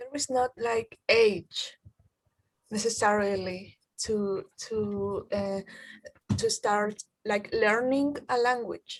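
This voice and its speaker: A woman with a Spanish accent, fairly high in pitch and very slow, her intonation fairly even, in dry, close sound with no echo. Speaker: university student. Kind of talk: group discussion.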